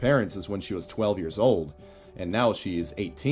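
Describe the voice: Just plain reading aloud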